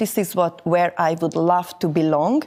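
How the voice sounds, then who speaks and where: A woman with a Hungarian accent speaks at a fairly slow pace in a fairly low pitch. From Hungary. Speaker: network marketing distributor. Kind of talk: interview. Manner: halting.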